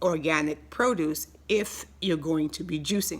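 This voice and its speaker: Her voice sits at a fairly low pitch with vocal fry as the woman speaks in an animated tone. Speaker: health educator. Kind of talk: health tutorial. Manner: fast.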